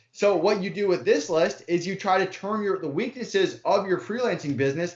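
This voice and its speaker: A man's high voice comes through over noticeable background noise. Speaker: founder of a freelancer hiring platform. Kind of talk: interview. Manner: fast.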